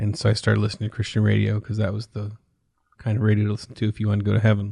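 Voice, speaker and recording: A man's somewhat breathy, fairly low voice against a quiet background. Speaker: voice actor. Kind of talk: casual interview answer.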